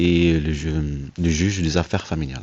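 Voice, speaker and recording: Soft-spoken and very deep in pitch, a man talks at a moderate pace with fairly even intonation against a quiet background. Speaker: father seeking help with letters. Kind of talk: conversation at an assistance office. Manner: halting, many hesitations.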